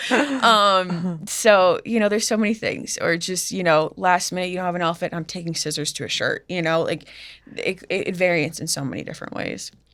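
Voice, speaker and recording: Speaking with an American accent, a woman has a plain, everyday voice at a medium pitch with ordinary pitch variation. She talks at a fairly quick pace in a very clean recording with a silent background. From US Northeast, Massachusetts. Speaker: fashion designer. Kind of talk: interview. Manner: casual, filler-heavy.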